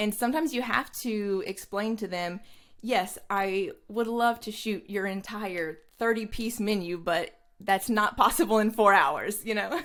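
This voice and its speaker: Her pitch shows ordinary variation. The woman speaks fairly slowly. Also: fairly high pitch for a woman. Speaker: food photographer. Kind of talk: interview. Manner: loud.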